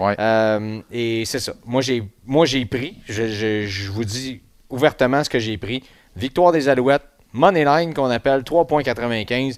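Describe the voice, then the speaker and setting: A man at medium pitch, talking at a very slow pace. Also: ordinary pitch variation, very clean recording, silent background. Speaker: sports podcast host. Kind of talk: casual chat. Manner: muffled by face mask.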